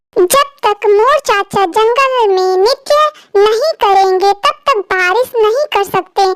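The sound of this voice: In a cartoonish character voice, a woman speaks at an extremely high pitch and a very slow pace.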